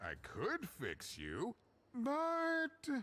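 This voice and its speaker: A man adopts a put-on character voice, pitched extremely high. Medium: video game. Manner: rambling, laughing.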